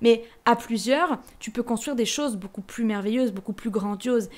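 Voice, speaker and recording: This woman has a fairly high pitch and an animated tone. She moves along at a fairly quick pace. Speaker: podcaster. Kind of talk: personal reflection monologue. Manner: fast.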